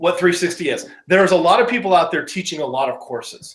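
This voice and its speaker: A man talks in an energetic tone at a high pitch. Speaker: online business course presenter. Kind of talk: webinar presentation.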